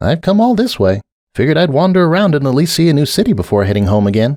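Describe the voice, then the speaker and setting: Someone puts on a character voice, racing at a very fast pace with very wide pitch swings. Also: man, fairly high pitch for a man. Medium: read story. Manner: soft-spoken, subdued.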